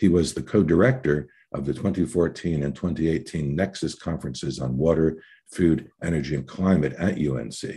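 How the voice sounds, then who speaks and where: With a quiet background, a man speaks at a fairly quick pace in a very deep, low pitch, with vocal fry, a dark, mellow tone and ordinary pitch variation. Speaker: webinar moderator. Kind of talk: formal introductions. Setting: online webinar video call. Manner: fast.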